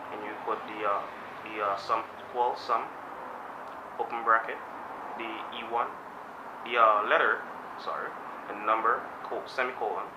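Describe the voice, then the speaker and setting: Amid noticeable background noise and audible room echo, a man talks at a moderate pace with long, frequent pauses and big swings in loudness. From Guyana. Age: young, 19. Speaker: job applicant. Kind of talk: job interview. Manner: halting, many fillers.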